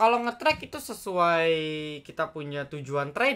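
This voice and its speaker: A man speaks with a bright, sharp tone. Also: very clean recording, silent background. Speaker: stock trading channel host. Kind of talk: market morning briefing. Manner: fast, casual, filler-heavy.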